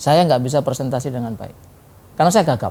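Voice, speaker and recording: A man speaks with ordinary pitch variation and a dark, mellow tone. The recording is very clean, with a silent background. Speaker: guest, motivational speaker. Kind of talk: talk show interview. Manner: fluent now, formerly stuttered.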